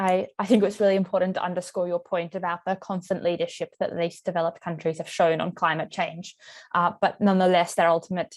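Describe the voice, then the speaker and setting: A woman with an Australian accent speaks very fast in a fairly low pitch, her intonation monotone and flat. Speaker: moderator. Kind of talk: webinar panel moderation.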